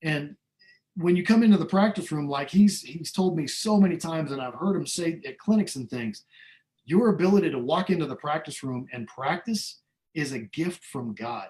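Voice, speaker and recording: A high-pitched man with an American accent, moderate pace, lively intonation, and big swings in loudness. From Iowa, US Midwest. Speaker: trumpet player. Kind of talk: interview. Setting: video call.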